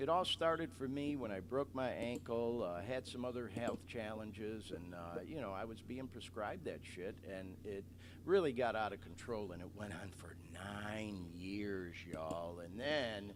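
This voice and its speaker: A man with an American accent and fairly low pitch speaks with lively intonation. His pace is fairly slow with hardly any pauses, and the room echo is audible. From US Midwest, Metro Detroit. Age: 60s. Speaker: podcast host. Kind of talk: casual monologue, live podcast. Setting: live stream.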